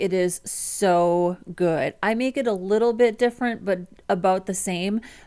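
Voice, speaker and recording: Speaking at a fairly slow pace, a woman talks with a strong Midwestern American accent. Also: very clean recording, silent background. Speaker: front-end developer, livestreamer. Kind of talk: casual livestream chat. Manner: casual, with many fillers.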